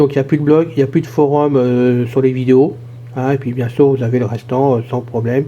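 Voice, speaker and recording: Fairly quick and somewhat breathy, a man speaks at medium pitch in a dark, mellow tone. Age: 60s. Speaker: YouTube channel host. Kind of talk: casual vlog monologue. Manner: hesitant, many fillers.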